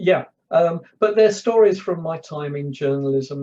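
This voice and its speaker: A fairly slow man's voice with a London accent and a dark, mellow tone. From London, north. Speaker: public speaker, former journalist. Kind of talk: casual chat. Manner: halting.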